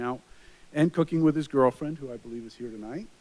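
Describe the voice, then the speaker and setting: A man speaks in a Long Island accent at a very fast pace. His intonation stays fairly even. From Long Island, New York. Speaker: police chief. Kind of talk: public introduction at council meeting. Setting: city council meeting.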